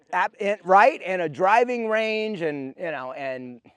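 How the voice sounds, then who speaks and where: In a dry, close recording with no echo, a man with an American accent makes very wide pitch swings. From US Northeast, Vermont. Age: 60s. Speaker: wellness center and campground owner. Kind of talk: casual interview. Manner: halting, many repetitions.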